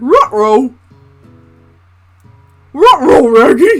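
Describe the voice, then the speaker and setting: A put-on character voice pitched high. Music plays in the background. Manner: mimicking a cartoon dog voice, not very polished.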